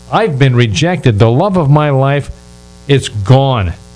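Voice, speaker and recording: A man talks with lively intonation, backed by music in the background. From United States. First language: not English. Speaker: radio talk show host and relationship advisor. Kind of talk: interview talk show. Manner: animated.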